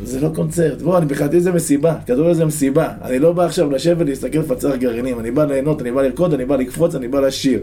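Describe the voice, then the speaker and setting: Talking very fast with hardly any pauses, a man uses a fairly high pitch with ordinary variation amid noticeable background noise. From Israel, a moshav near Netanya. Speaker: football supporter, stand chant leader. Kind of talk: casual interview. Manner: animated.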